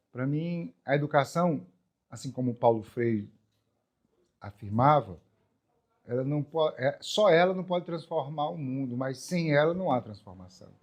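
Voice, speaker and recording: Speaking at a fairly slow pace with long, frequent pauses, a man uses a fairly high pitch and lively intonation. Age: 60s. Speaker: artist and educator. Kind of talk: documentary interview.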